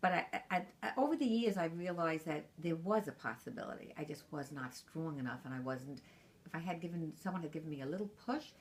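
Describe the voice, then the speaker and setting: A woman talks at a fairly quick pace and fairly low pitch, her intonation lively. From Brooklyn, New York. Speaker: grandmother interviewed about her life. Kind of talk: oral history interview.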